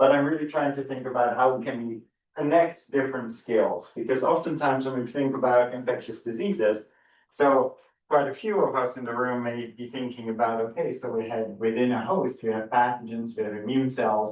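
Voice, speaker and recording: A man with a Dutch accent at a fairly quick pace. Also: medium pitch for a man, ordinary pitch variation. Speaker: professor. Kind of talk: lecture. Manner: hesitant, repeats words.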